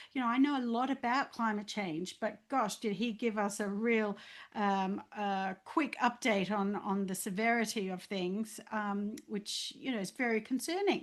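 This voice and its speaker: An Australian accent against a quiet background. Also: woman. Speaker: leadership coach. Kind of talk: testimony. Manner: halting, many fillers.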